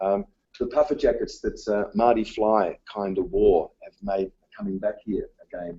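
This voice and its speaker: A man with an Australian accent speaks at a fairly slow pace with big swings in loudness. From Australia, south-east Melbourne. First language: Dutch. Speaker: teacher. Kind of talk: conference presentation. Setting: conference session, live-streamed. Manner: hesitant, many fillers.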